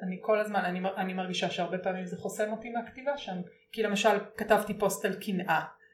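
A woman at a medium pitch, very fast pace and fairly even intonation, with noticeable background noise. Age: 40s. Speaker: author writing a book on open relationships. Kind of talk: casual chat.

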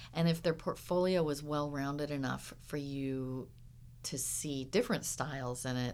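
With an American accent, a woman speaks in a very deep, low voice marked by vocal fry. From Southern California (Huntington Beach). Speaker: animation art director. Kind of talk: interview.

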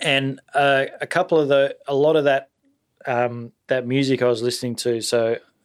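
Fairly even intonation marks a man's speech on a very clean recording with a silent background. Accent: Australian. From Sydney, Australia. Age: 30s. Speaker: jazz drummer. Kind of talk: casual interview chat.

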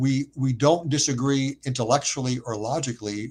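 At a moderate pace, a man with a medium pitch sounds somewhat breathy, keeping his intonation fairly even. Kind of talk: interview.

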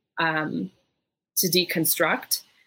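In an American accent, a woman with a fairly low pitch and fairly even intonation talks in an unremarkable speaking voice. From US Midwest, Wisconsin. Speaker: sociologist and community organizer. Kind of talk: panel discussion.

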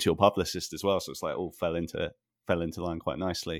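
Very fast speech from a man, dry and close-miked with no echo. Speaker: podcast host and musician. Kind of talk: casual interview. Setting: remote call. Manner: casual, chatty.

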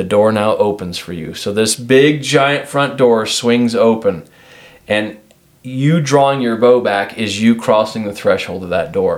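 A man with a normal speaking voice, an American accent, medium pitch and ordinary pitch variation. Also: fairly slow pace. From Washington. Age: 40s. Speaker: shooting coach. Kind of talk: podcast interview.

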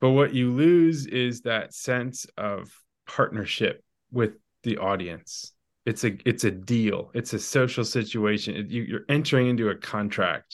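A man's medium-pitched, ordinary speaking voice at a fairly slow pace, ordinary pitch variation, quiet background. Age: 40s. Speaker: novelist. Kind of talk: casual chat.

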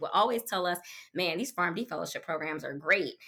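With ordinary pitch variation, the woman speaks in a tone that is bright and sharp. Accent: American. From Washington D.C. area. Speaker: pharmaceutical medical affairs professional. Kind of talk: interview.

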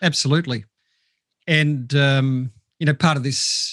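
A fairly slow pace in an Australian accent. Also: man. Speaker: mental health professional. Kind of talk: casual interview.

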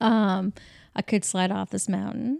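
On a very clean recording with a silent background, a woman with an ordinary speaking voice talks at a moderate pace and medium pitch. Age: 40s. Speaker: podcast co-host. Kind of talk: casual chat. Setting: kitchen table.

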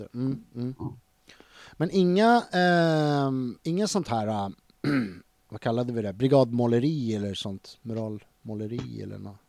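A man with lively intonation, big swings in loudness and long, frequent pauses. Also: medium pitch for a man, fairly slow pace. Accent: Stockholm. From Stockholm (Tensta/Hjulsta). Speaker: podcast host. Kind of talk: casual interview.

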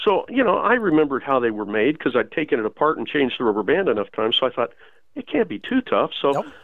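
A man with an American accent speaks at a very fast pace. His fairly high voice swings very widely in pitch. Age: 60s. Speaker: outdoor writer and newsletter editor. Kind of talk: casual interview chat.

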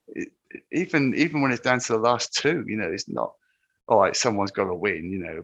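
A man talks at a very fast pace with an English accent. His pitch is fairly low and his intonation lively. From England, Cornwall. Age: 50s. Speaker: ultrarunner. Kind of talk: casual chat.

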